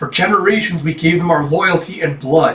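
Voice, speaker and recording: Putting on a character voice, a man pitches it high. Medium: read story.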